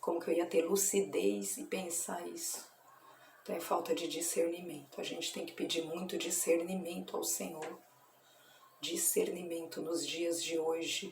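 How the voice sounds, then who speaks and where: Soft-spoken and fairly low-pitched, a woman talks at a fairly slow pace amid audible room echo and noticeable background noise. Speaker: evangelical churchgoer sharing religious reflections. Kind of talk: informal religious reflection video. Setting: at her workplace. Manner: soft-spoken, speaking quietly.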